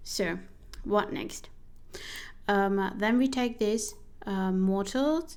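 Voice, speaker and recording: With a non-native accent, a woman speaks at a very slow pace with long, frequent pauses, and audible room echo surrounds her. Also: medium pitch for a woman, lively intonation. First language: not English. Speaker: vtuber streamer playing a solo journaling RPG. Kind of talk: game playthrough narration, reading her journal entries. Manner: casual, halting with self-corrections.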